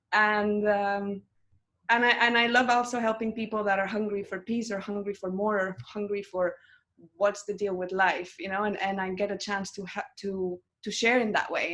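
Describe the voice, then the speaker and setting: A woman in a Spanish accent talks at a medium pitch. Her intonation is monotone and flat. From Mexico. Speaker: meditation teacher and monk. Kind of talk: interview. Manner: loud, intense.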